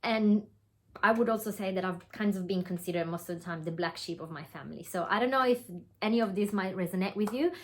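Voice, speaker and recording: A woman with an Italian accent speaks at a very fast pace and a medium pitch. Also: ordinary pitch variation. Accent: Italian accent, noticeable. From Italy. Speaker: online business coach. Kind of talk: webinar presentation. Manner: hesitant, with fillers.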